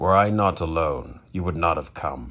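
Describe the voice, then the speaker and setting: A man growls in a put-on character voice, very deep and low, at a moderate pace with ordinary pitch variation. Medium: read story. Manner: terse, dry.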